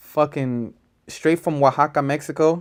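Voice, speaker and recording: A man's fairly high voice is heard on a very clean recording with a silent background. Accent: American. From Los Angeles, California. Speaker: hip hop artist. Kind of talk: interview. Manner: loud.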